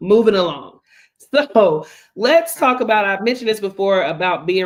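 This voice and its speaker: Speaking at a fairly quick pace with an American accent, a woman uses ordinary pitch variation. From US South, Gastonia, North Carolina. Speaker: travel podcast co-host. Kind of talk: casual podcast conversation.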